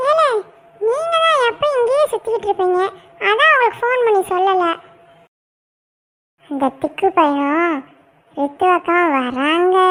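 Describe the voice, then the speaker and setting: A cartoonish character voice speaks at an extremely high pitch with very wide pitch swings. The pace is fairly slow. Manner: cheeky, talkative.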